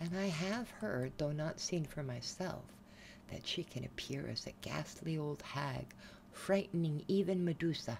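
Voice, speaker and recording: Soft-spoken, this voice moves at a fairly slow pace. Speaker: storyteller. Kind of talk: soft-spoken story reading.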